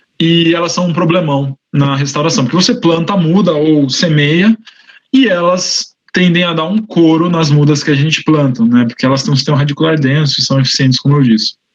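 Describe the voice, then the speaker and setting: At a fairly quick pace, a man speaks with very even loudness and ordinary pitch variation. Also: fairly high pitch for a man. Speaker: researcher. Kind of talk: lecture. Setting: online livestream. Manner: fast.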